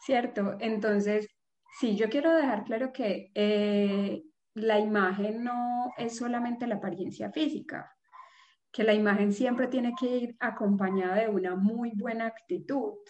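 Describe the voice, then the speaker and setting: A woman's fairly slow, fairly high-pitched delivery with ordinary pitch variation, an ordinary speaking voice. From Colombia, Pereira. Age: 30s. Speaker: image consultant and fashion designer. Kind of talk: casual interview.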